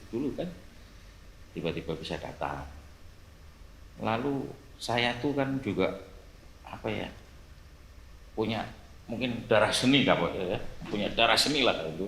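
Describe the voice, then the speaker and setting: Speaking in a strong Javanese accent, a man with a medium pitch and vocal fry moves at a moderate pace through very wide pitch swings, with long, frequent pauses and audible room echo. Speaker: police officer. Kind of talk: casual chat.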